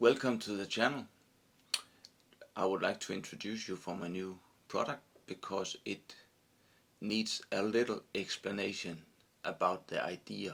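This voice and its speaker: The speaker moves at a moderate pace with ordinary pitch variation. Long pauses come often. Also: man, fairly low pitch for a man. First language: not English. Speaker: fly tyer presenting own product. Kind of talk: product tutorial. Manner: halting.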